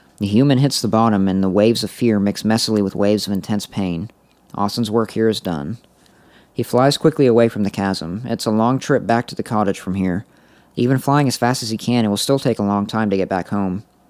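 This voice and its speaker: In a normal speaking voice, a fairly low-pitched man talks at a fairly quick pace with ordinary pitch variation. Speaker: podcast co-host. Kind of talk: casual chat.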